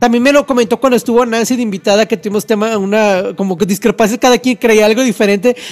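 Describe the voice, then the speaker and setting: Very fast and with very even loudness, a man speaks in a high pitch with fairly even intonation, the sound dry and close with no echo. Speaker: radio host. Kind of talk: casual chat.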